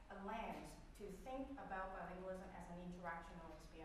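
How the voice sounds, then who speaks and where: Strong room echo and light background noise surround a woman speaking with ordinary pitch variation. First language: Cantonese. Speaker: professor. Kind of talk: lecture. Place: classroom.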